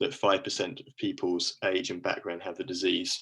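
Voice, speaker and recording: Keeping a moderate tempo, a man talks with a British accent. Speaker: university lecturer. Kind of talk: lecture.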